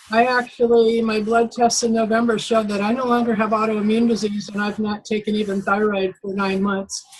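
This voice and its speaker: Over noticeable background noise, a woman with a fairly high pitch talks in a monotone, flat intonation with hardly any pauses. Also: fairly quick pace. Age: 70s. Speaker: customer testimonial speaker. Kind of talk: testimony.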